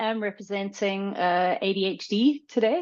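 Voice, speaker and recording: A woman at a fairly slow pace, ordinary pitch variation, quiet background. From South Africa. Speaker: educational psychologist and coach trainer. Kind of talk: live online panel discussion. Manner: halting, many fillers.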